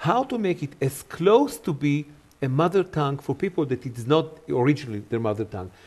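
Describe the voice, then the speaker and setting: A man's fairly high voice with lively intonation. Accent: Israeli. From Israel. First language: Hebrew. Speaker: Hebrew Bible teacher. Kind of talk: interview.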